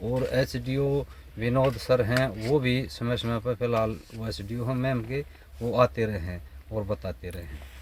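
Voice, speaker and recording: A man's voice, medium in pitch and with ordinary pitch variation, comes through over noticeable background noise. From Haryana, Rohtak district. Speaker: farmer. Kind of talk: interview. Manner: rustic colloquial speech.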